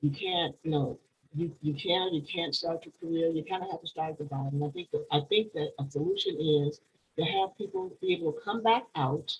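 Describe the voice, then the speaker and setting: A somewhat breathy woman's voice, fairly low in pitch, at a fairly quick pace with ordinary pitch variation. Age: 60s. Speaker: panelist, formerly incarcerated. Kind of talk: panel discussion. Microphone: connection froze.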